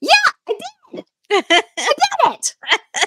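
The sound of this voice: The put-on character voice is squeaky, with an extremely high pitch.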